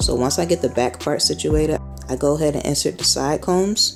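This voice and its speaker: A woman talks fairly quickly while music runs in the background. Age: 20s. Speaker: photographer. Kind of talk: hair tutorial voice-over. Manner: casual.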